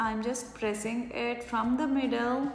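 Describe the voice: A woman at a fairly high pitch, fairly slow pace and fairly even intonation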